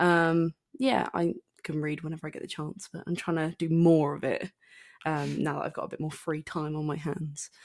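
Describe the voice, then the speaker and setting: A woman with a southern English accent speaks at a moderate pace, her pitch very deep and low. Her intonation is fairly even, on a very clean recording with a silent background. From southern England, Southampton. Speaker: podcast co-host. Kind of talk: casual chat. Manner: hesitant, many fillers.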